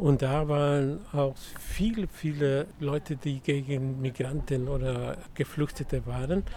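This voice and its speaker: Here a man speaks at a very slow pace. His pitch is fairly high, with ordinary pitch variation. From Mexico. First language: Spanish (speaking German). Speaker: migrant rights activist. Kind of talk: interview. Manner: halting.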